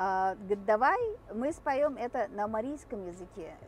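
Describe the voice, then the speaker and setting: A woman with a Mari El accent speaks at a fairly slow pace. Her pitch is fairly high, with ordinary variation. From Mari El, Russia. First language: Mari (speaking Russian). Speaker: vlogger. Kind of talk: casual vlog talk. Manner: hesitant, many filler sounds.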